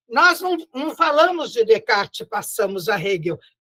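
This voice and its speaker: Raised and projected, a woman's high-pitched voice has a bright, sharp tone at a moderate pace, in a dry, close sound with no echo. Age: 80s+. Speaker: spiritist lecturer and teacher. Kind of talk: lecture. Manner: warm, conversational.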